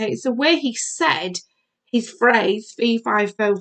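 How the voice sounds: Ordinary pitch variation runs through a natural reading voice. The background stays quiet.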